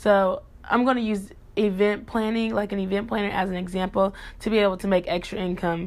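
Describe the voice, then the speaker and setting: A woman at a fairly quick pace in a very clean recording with a silent background. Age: young. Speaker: podcast host. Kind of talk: solo podcast talk. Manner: animated.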